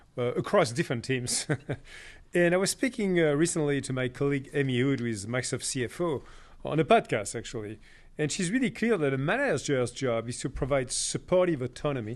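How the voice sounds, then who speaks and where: A man with a French accent talks in a fairly high pitch at a fairly quick pace. His intonation is lively, and the background is quiet. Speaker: podcast host. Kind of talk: interview.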